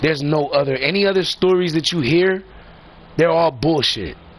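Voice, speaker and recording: A man's animated tone over noticeable background noise. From Puerto Rican heritage, US. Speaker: gaming live streamer. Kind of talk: casual rant to stream viewers.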